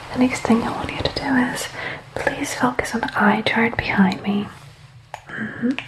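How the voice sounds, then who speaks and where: Whispered words come at a moderate pace with long, frequent pauses. Noticeable background noise sits behind them. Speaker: ASMR creator doing a doctor roleplay. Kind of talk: ASMR medical roleplay, guided exam. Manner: soft-spoken, gentle, calming.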